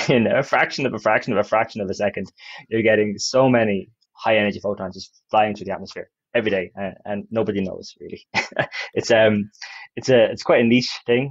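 A man with an unremarkable speaking voice and a fairly low pitch talks with fairly even intonation, the sound dry with no echo and the background quiet. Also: fairly quick pace. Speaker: podcast guest. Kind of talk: interview answer. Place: office. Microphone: earbuds.

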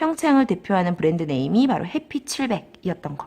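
Her pitch swinging very widely, a woman speaks. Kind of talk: lecture.

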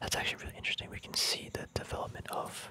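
The speaker whispers and is soft-spoken. Noticeable background noise runs underneath. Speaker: reader studying a trading book. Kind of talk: casual tutorial commentary. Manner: soft ASMR whisper, slow explaining.

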